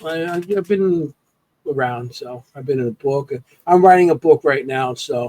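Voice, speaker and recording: A man's fairly high, dark, mellow voice at a moderate pace, with ordinary pitch variation, big swings in loudness and a dry, close sound with no echo. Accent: American. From New York. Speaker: paranormal investigator. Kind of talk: casual podcast interview. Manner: halting, many fillers.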